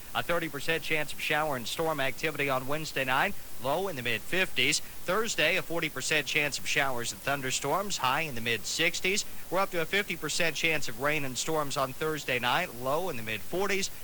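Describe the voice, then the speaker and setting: Fairly quick and with hardly any pauses, a man speaks with a fairly high pitch, a bright, sharp tone and ordinary pitch variation. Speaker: radio announcer. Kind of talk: radio weather forecast.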